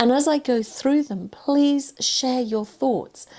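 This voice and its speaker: With an English accent, a woman speaks at a fairly slow pace in a dark, mellow tone. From England. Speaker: cancer survivor and confidence coach. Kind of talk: personal talk to camera.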